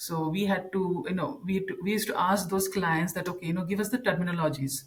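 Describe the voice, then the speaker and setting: Noticeable background noise sits under speech that goes at a fairly quick pace, its pitch varying in an ordinary way. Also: woman. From India. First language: an Indian language. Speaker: content strategist and communications trainer. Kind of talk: podcast interview. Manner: halting, many fillers and repetitions.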